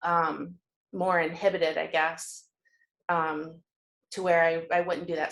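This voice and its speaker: In a Michigan accent, a woman speaks at a fairly low pitch and a fairly slow pace. Her intonation is monotone and flat. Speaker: group coaching participant. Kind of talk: casual group discussion. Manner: halting, many repeated words.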